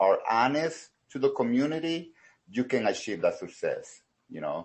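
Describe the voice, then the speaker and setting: A man's voice at a fairly slow pace with lively intonation. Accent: Salvadoran. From El Salvador. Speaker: karate studio owner. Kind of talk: interview. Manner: halting, many fillers.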